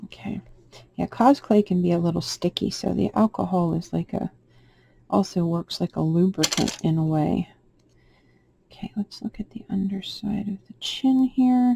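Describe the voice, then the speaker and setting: A soft-spoken woman at a medium pitch, somewhat breathy with a dark, mellow tone, a moderate pace, ordinary pitch variation, and long, frequent pauses, in a dry, close sound with no echo. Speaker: polymer clay sculptor. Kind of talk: tutorial. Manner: halting.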